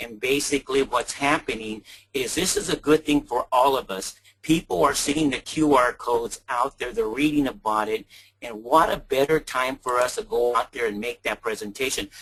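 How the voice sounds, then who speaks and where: A man speaks at a moderate pace in a normal speaking voice, with medium pitch and ordinary pitch variation. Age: 60s. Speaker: salesman. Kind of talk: testimony.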